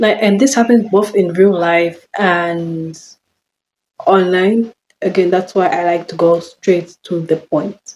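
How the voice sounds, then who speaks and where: Her pace is very slow, with long, frequent pauses. The woman holds a medium pitch and fairly even intonation. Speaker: vlogger. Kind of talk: casual chat. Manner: monotone; halting.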